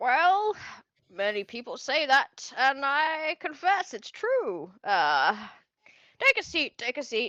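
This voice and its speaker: Using a put-on character voice, a woman speaks high in pitch with very wide pitch swings at a fairly slow pace. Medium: actual play.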